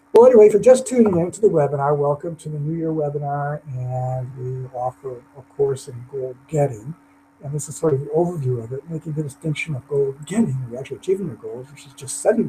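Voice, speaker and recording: A man speaks very fast with hardly any pauses, his voice somewhat breathy and fairly high, with ordinary pitch variation. His loudness swings a lot. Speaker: motivational speaker. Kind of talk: webinar presentation. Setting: online webinar.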